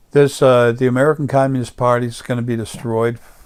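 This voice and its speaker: The intonation is monotone and flat on a very clean recording with a silent background. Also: man. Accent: slight New York. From US Northeast, Long Island, New York. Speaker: political commentator. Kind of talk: monologue rant. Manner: halting, many fillers.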